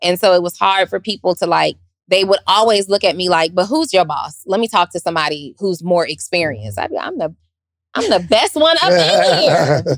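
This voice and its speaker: Recorded dry and close with no echo, a woman speaks at a medium pitch and a fairly quick pace with ordinary pitch variation. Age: 40s. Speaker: podcast host. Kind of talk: casual chat.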